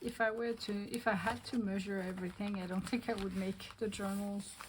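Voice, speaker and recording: Speaking at a fairly quick pace with a French accent, a woman keeps a medium pitch and fairly even intonation over noticeable background noise. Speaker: craft video creator. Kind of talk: tutorial. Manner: casual, thinking aloud.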